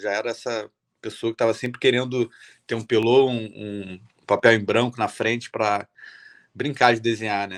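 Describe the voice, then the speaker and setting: At a moderate pace and in a Rio de Janeiro accent, the voice comes through on a very clean recording with a silent background and a dry, close sound with no echo. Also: man. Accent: carioca. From Rio de Janeiro, Brazil. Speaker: illustrator and artist. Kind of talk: talk at event. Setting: stage at event.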